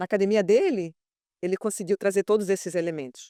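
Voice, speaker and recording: A woman talks at a medium pitch and a fairly quick pace. The sound is dry and close, with no echo. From Mozambique. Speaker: capoeira teacher. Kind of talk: podcast conversation.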